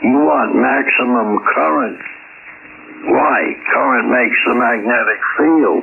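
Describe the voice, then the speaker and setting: A man speaks at a very slow pace. Noticeable background noise runs underneath. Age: 80s+. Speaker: ham radio operator. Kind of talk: ham radio conversation. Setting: radio transmission.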